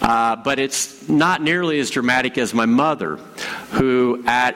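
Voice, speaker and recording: Noticeable background noise sits behind a voice moving at a fairly slow pace with ordinary pitch variation. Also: man. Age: 50s. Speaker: pastor. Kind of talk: sermon.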